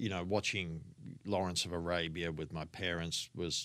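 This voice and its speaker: A man with an Australian accent talks at a moderate pace in a very deep, low voice with a bright, sharp tone, on a very clean recording with a silent background. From Australia, Sydney northern beaches. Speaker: film editor. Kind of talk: interview. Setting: office on a film studio lot.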